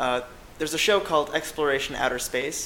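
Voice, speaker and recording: A man races along at a very fast pace while noticeable background noise runs underneath. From US South. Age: 20s. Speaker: astrophysics student. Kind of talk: interview. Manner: hesitant, many fillers.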